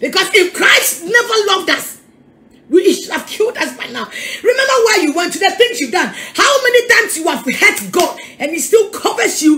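A woman projects a raised voice at a moderate pace, her pitch swinging very widely. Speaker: preacher. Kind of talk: sermon. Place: home room. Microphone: phone near.

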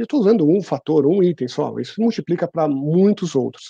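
Against a quiet background with a dry sound and no echo, a man speaks very fast at a fairly high pitch, with lively intonation and a dark, mellow tone. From Brazil, São Paulo. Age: 40s. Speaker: HR executive; guest. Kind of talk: interview. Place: home room. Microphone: earbuds.

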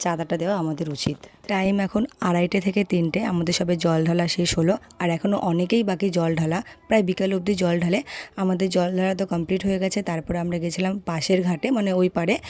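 Against noticeable background noise, a woman speaks with fairly even intonation and very even loudness. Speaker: vlogger. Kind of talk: casual vlog narration.

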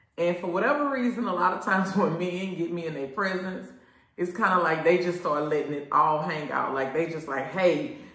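With a fairly quick pace and audible room echo, a woman speaks at a fairly low pitch. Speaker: show host. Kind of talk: casual vlog chat. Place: shop.

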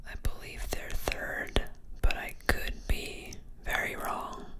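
Soft-spoken whispering under loud background noise. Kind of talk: casual unboxing talk. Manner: soft ASMR whisper.

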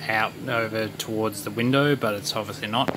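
Over noticeable background noise, a man speaks in a flat monotone at a fairly low pitch. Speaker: electronics hobbyist. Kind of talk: unscripted casual talk to camera. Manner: hesitant, stuttering. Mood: playful, self-mocking. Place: workshop. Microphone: phone near.

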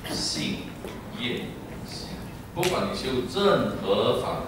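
A man speaks very slowly amid noticeable background noise and strong room echo. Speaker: Buddhist teacher. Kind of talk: dharma talk sermon. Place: hall.

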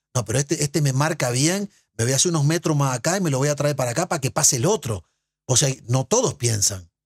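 A man talks at a very fast pace with lively intonation and a fairly high pitch. His voice is somewhat breathy, over a quiet background. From Uruguay. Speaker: former footballer and sports broadcaster; podcast guest. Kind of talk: casual interview. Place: studio. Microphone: studio mic.

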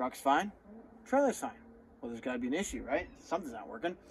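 Over light background noise, a man speaks with very wide pitch swings. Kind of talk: tutorial. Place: open country. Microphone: phone near.

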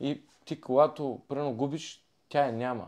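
Against a quiet background, a man speaks at a moderate pace in a normal speaking voice. His pitch is medium, with ordinary variation. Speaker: former wrestler, podcast guest. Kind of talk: casual chat.

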